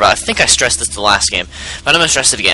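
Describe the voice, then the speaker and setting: A man rattles off his words very fast, with noticeable noise in the background. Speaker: gaming commentator. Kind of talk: game replay commentary. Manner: loud.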